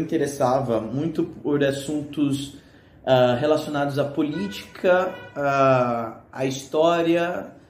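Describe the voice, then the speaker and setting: Amid noticeable background noise and audible room echo, a man speaks fairly slowly in a fairly high pitch with ordinary pitch variation. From Brazil, São Paulo. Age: 20s. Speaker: economics student. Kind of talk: casual video presentation. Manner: hesitant, many fillers.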